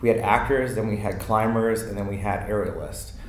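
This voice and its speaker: In a room with audible echo, a man with an American accent speaks at a moderate pace and medium pitch. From Maryland, US. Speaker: theater dresser. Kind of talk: casual chat.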